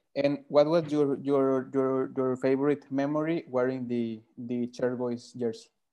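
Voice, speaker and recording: A man with a Spanish accent, medium pitch, dark, mellow tone, fairly even intonation and fairly slow pace. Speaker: football podcast host. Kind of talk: interview. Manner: halting.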